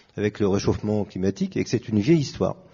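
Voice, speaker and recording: A man speaks at a very fast pace with lively intonation. His voice is somewhat breathy. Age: 60s. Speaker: pianist. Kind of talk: panel discussion.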